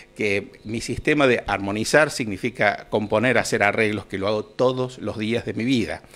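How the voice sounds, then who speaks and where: Moving at a moderate pace, a man speaks at a fairly low pitch with ordinary pitch variation. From Argentina. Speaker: outgoing municipal culture director and choir conductor; music teacher. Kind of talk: radio interview. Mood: relaxed, friendly. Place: office. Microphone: handheld.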